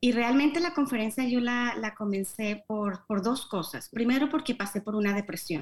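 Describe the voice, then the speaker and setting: A woman's fairly high, unremarkable speaking voice with lively intonation, a moderate pace and hardly any pauses. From Colombia, Bogotá. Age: 50s. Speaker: newspaper founder. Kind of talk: interview. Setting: remote video call.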